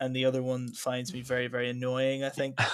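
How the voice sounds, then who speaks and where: Speaking with an American accent, a man uses a medium pitch. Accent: Northern Irish, often mistaken for American. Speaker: trainee history teacher. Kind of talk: casual chat.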